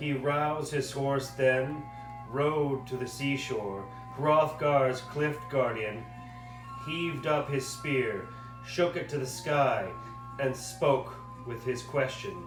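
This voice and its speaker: With music in the background, a man speaks at a very slow pace in a medium pitch, using fairly even intonation and long, frequent pauses. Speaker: puppeteer reading aloud for a class project. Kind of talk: poetry reading.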